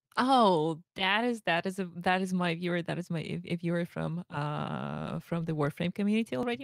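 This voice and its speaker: A woman's fairly low voice with a Slavic accent, hardly any pauses, on a very clean recording with a silent background. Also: dry, close sound with no echo. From Russia. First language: Russian. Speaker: streamer. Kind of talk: interview on a livestream. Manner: halting, repeats words.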